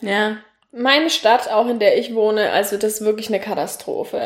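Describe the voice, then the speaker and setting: A woman talks at a fairly quick pace in a southern German accent, her fairly high pitch held in fairly even intonation. Noticeable background noise is present. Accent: southern German, audible. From Franconia, Nuremberg. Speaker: podcast host. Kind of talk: casual chat.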